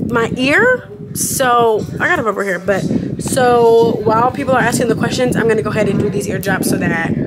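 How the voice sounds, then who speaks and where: Loud noise fills the background. Through it, a woman talks. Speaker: vlogger. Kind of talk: casual vlog chat. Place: home room. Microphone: phone near.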